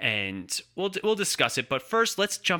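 Talking at a fairly quick pace, a man uses very wide pitch swings and a bright, sharp tone. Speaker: podcast host. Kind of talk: casual chat. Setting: video call. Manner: animated.

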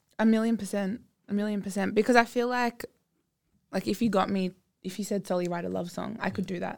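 The speaker has an Australian accent and a fairly even intonation. The pace is very fast, broken by long, frequent pauses. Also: woman, medium pitch for a woman. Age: 20s. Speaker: singer. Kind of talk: casual chat.

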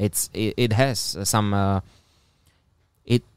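A man with a Slovak accent speaks at a fairly low pitch with ordinary pitch variation. The recording is very clean, with a silent background, and sounds dry and close with no echo. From Slovakia, Trenčín region. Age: 20s. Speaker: media creator and student. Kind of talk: casual chat.

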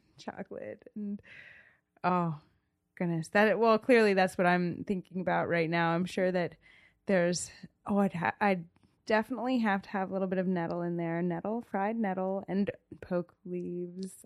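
The speaker talks at a moderate pace with an American accent, leaving long, frequent pauses. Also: woman, medium pitch for a woman. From US Mid-Atlantic, rural Montgomery County, Maryland. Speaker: small business owner. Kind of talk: interview. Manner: animated.

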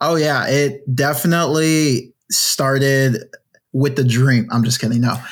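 A man's fairly high, ordinary speaking voice at a fairly slow pace, with fairly even intonation and very even loudness. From Ghana, moved to the US as a child. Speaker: indie game studio founder and creative director. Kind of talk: casual interview.

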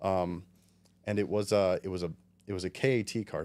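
With a very deep, low voice, a man speaks fairly quickly in a fairly even intonation. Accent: New Jersey. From western New Jersey. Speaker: amateur drift racer. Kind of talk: casual chat. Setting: studio.

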